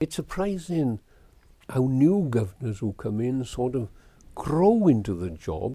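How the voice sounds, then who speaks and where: Speaking at a fairly slow pace in a South Wales Valleys accent, a man with a medium pitch and a dark, mellow tone swings his pitch very widely. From Wales, Darran Valley. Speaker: school governors chairman. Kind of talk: oral history interview.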